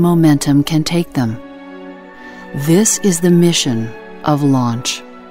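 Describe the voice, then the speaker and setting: A woman's very deep, low voice at a very slow pace, with music in the background. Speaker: voice actor. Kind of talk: corporate narration.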